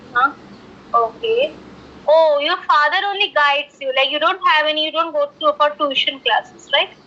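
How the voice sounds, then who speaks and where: A woman with a high pitch talks at a moderate pace, using ordinary pitch variation. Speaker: English tutor. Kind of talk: one-on-one English practice conversation.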